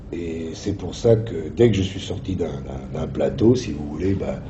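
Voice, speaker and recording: A man speaks over noticeable background noise. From Italy. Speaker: actor. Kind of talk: interview answer.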